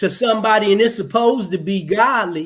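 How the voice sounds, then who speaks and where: A man speaks loudly. His pitch is high. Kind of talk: heated discussion on live talk show.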